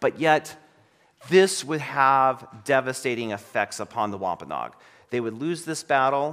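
A man speaks in a plain, everyday voice at a medium pitch, going at a fairly slow pace with ordinary pitch variation. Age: 40s. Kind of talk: sermon.

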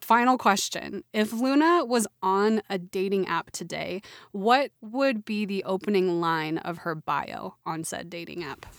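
An unremarkable speaking voice: a woman with an American accent at a medium pitch, fairly slow in pace, with lively intonation, big swings in loudness, and a dry, close sound with no echo in a very clean recording against a silent background. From Oklahoma. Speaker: podcast co-host. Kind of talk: casual chat.

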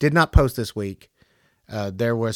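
A man's medium-pitched voice at a fairly quick pace, with ordinary pitch variation, dry and close with no echo, on a very clean recording with a silent background. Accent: Southern US. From US South, Tennessee. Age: 50s. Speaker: podcast host. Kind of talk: casual solo monologue.

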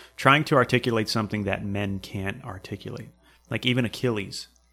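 Speaking at a fairly quick pace, a man with an American accent has a fairly low pitch, a bright, sharp tone and ordinary pitch variation. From New Hampshire, US. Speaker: podcast host and Marine veteran. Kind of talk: casual interview conversation.

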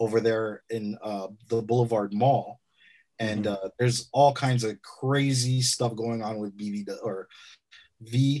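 An ordinary speaking voice from a man with an American accent, medium in pitch, fairly slow and fairly even in intonation, against a quiet background. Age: 40s. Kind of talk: casual chat.

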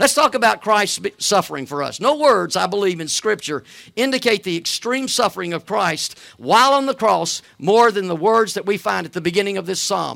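On a very clean recording with a silent background, a man with a Southern US accent talks fairly quickly in a high, bright, sharp voice with lively intonation. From US South, Alabama. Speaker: guest preacher. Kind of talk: sermon. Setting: church. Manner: halting, with frequent fillers.

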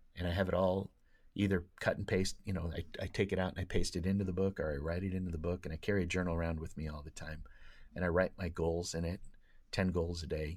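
A man with an American accent and very deep, low pitch talks at a very fast pace in a monotone, flat intonation, on a very clean recording with a silent background. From Oregon, US. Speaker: speech and debate coach. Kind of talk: casual interview.

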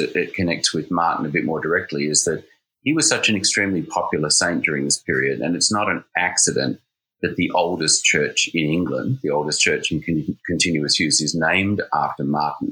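With an Australian accent, a man speaks at a very even loudness. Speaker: priest and seminary dean. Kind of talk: interview about church history.

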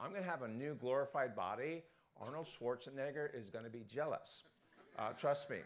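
Speaking at a fairly quick pace, a man uses a normal speaking voice that sits fairly high in pitch, with lively intonation. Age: 60s. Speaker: pastor. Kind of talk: sermon. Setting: church.

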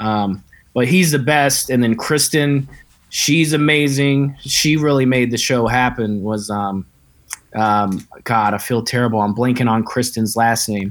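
At a fairly slow pace, a man with an American accent uses a plain, everyday voice at a medium pitch with ordinary pitch variation. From Kentucky, US South. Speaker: comedian and filmmaker. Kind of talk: casual chat. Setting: video call.

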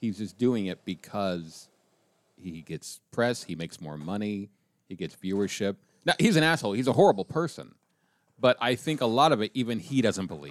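On a very clean recording with a silent background, a man with an American accent speaks at a moderate pace in a fairly low pitch with very wide pitch swings. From Colorado. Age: 50s. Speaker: political satirist. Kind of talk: casual chat.

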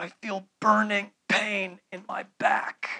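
A man uses a put-on character voice with a high pitch. He speaks at a very slow pace. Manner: through gritted teeth.

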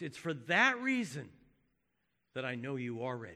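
A man puts on a character voice at a medium pitch and a moderate pace. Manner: kind, reassuring, wise.

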